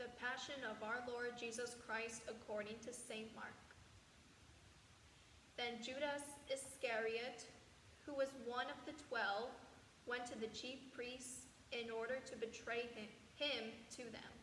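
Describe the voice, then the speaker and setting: A woman speaks in a high, flat monotone at a fairly slow pace, leaving long, frequent pauses. Noticeable background noise runs underneath. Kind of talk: scripture narration.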